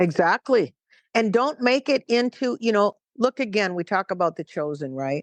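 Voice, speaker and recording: With an American accent, a woman speaks at a moderate pace with very wide pitch swings, in a dry, close sound with no echo over a quiet background. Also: medium pitch for a woman. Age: 60s. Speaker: missionary. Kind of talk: interview conversation.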